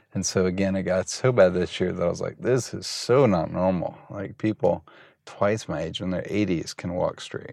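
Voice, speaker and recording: With a fairly low voice and ordinary pitch movement, a man talks at a middling speed. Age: 40s. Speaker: photographer and artist. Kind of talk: casual interview conversation. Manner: halting, filler words.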